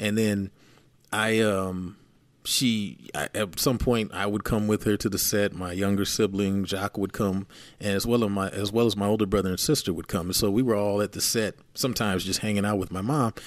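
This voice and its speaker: At a moderate pace and in an American accent, this is a normal speaking voice with fairly even intonation on a very clean recording with a silent background. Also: man, fairly low pitch for a man. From San Francisco Bay Area, California. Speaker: music producer. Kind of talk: casual chat.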